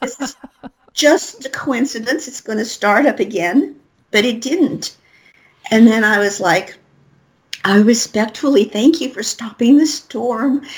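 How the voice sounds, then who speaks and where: With an American accent, a woman speaks in a high voice, leaving long, frequent pauses and swinging widely in loudness. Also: ordinary pitch variation, fairly slow pace. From Colorado, US. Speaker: spiritual reader and author. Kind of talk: interview. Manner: rambling, run-on.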